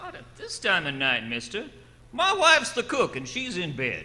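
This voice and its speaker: A man puts on a gruff character voice at extremely high pitch, in a rural American accent, at a moderate pace. His loudness swings widely over light background noise. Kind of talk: 1940s radio acting. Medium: old radio play. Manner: gruff, blunt.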